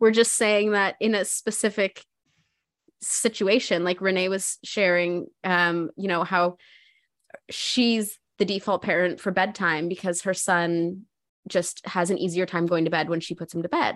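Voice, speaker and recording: A woman speaks at a fairly slow pace with a plain, everyday voice, medium in pitch. Her intonation is fairly even, and the background is quiet. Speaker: mother and cancer patient. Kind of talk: casual chat.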